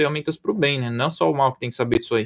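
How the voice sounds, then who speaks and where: A man speaks with a medium pitch. It varies in an ordinary way. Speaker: AI specialist, course instructor. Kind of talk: live online presentation wrap-up. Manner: fast.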